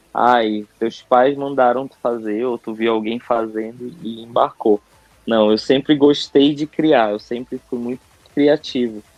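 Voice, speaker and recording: Over music in the background, a man speaks at a fairly slow pace with fairly even intonation. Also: medium pitch for a man, big swings in loudness. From northern Brazil, Manaus. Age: 30s. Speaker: entrepreneur and advertising professional. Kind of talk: podcast interview.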